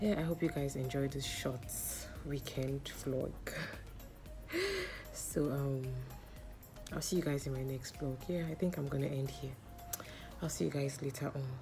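Over clear music in the background, a woman with a very deep, low pitch talks at a moderate pace, keeping her intonation fairly even and leaving long, frequent pauses. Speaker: vlogger. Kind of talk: casual vlog chat. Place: home room. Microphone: phone near.

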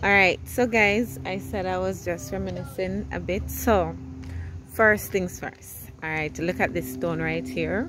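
A woman speaks over music in the background, the sound dry with no echo. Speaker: vlogger. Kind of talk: casual vlog chat. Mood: relaxed, nostalgic. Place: street. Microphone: phone near.

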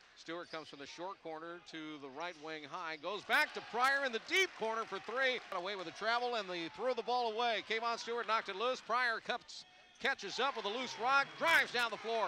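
A man with a high voice projects a raised, energetic delivery with lively intonation at a fairly quick pace, hardly pausing. Light background noise is present, and the sound is dry with no echo. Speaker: basketball radio commentator. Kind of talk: live play-by-play sports commentary. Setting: game broadcast, highlights reel. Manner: rapid-fire, fluent, energetic play-by-play delivery. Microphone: headset.

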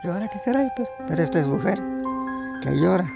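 A man talks at a fairly quick pace, with clear music in the background. The sound is dry, with no echo. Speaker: farmer. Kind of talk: folk tale told by the fire. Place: open country.

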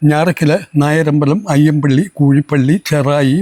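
A man's fairly high voice with a dark, mellow tone and a dry, close sound with no echo. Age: 70s. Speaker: lay street preacher. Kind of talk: testimony.

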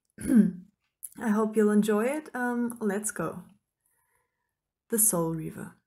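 A woman with a non-native accent speaks very slowly, leaving long, frequent pauses. Her voice is somewhat breathy, dark and mellow, fairly high in pitch, with ordinary pitch variation. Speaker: author. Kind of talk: casual talk to camera.

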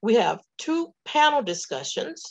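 Against a quiet background, a woman speaks at a very slow pace. Her pitch swings very widely. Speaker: event emcee and division director. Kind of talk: event hosting. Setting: video call. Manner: formal. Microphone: webcam.

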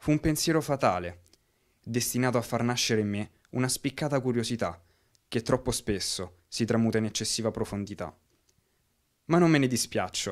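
On a very clean recording with a silent background, a man of medium pitch talks at a moderate pace with ordinary pitch variation and long, frequent pauses. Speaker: amateur storyteller in a digital storytelling workshop. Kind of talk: scripted first-person digital story, a poetic memoir read aloud over images. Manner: wistful, gently awed tone rising to a reflective close.

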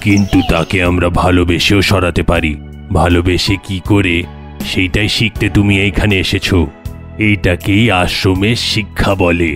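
Clear music plays in the background as a man does a cartoonish character voice, very deep and low in pitch, at a fairly slow pace. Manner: calm, kindly.

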